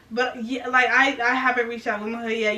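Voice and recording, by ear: A woman speaks at a moderate pace, fairly high in pitch. Her tone is bright and sharp, with audible room echo.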